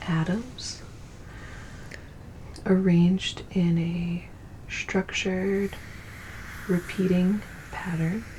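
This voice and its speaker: A very slow pace and a calm tone over noticeable background noise. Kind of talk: soft-spoken ASMR science narration for sleep. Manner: soft, calm, relaxing.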